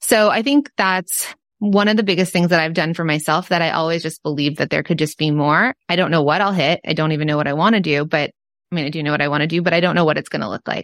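A woman with a Southern California accent talks very fast at a fairly low pitch, her pitch varying in an ordinary way, over a quiet background. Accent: valley girl American. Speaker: entrepreneur and podcast cohost. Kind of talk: casual interview chat.

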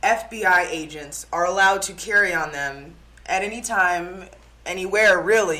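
With a bright, sharp tone, a woman of medium pitch speaks at a fairly slow pace with ordinary pitch variation. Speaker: TV news reporter. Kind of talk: interview. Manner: enthusiastic; polished reporter delivery.

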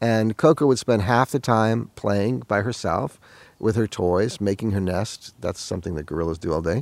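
Speech comes at a moderate pace with lively intonation. It is a normal speaking voice. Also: man, fairly low pitch for a man. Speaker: interviewee, former gorilla researcher helper. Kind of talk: interview recollection.

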